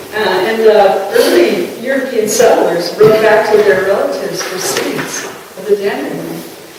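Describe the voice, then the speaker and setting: A woman with an American accent, fairly even intonation, and noticeable background noise. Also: medium pitch for a woman, moderate pace, big swings in loudness. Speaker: poet. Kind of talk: casual talk to an audience. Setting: live reading in a chapel. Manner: easygoing.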